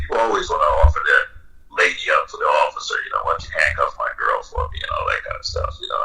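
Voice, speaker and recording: Over noticeable background noise, a man with an extremely high pitch projects a raised voice with fairly even intonation. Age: 60s. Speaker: retired police officer and BDSM dominant. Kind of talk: casual interview.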